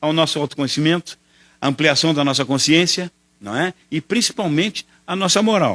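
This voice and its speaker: In a very clean recording with a silent background and a dry, close sound with no echo, a man talks at a very fast pace in a bright, sharp tone. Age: 70s. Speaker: spiritist lecturer. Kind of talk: lecture.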